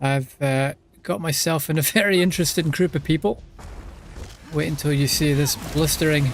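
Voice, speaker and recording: A man's fairly high voice, with a Scottish accent, somewhat breathy, at a moderate pace with long, frequent pauses, fairly even intonation and very even loudness. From Scotland. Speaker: streamer. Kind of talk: casual live-stream gaming commentary. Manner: repetitive, halting.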